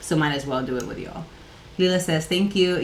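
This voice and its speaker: A woman with a Catalan accent, heard through noticeable background noise and audible room echo. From Catalonia, Spain. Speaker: livestream coworking host. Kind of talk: casual livestream chat. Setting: home office livestream.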